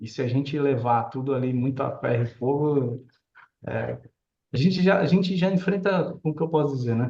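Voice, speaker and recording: A man speaks at a moderate pace with a somewhat breathy, dark, mellow tone. His pitch sits fairly high and varies in an ordinary way. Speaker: real estate developer and architect. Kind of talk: live stream chat. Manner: casual.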